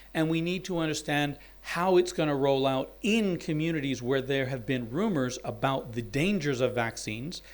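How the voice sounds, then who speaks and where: A man with an American accent has an ordinary speaking voice and lively intonation. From US South, Alabama. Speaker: university dean and anthropologist. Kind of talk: symposium talk.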